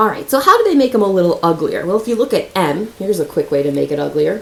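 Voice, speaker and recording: There is noticeable background noise in this clip. A woman with a medium pitch talks at a fairly quick pace. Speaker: math teacher. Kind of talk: tutorial. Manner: fast; casual.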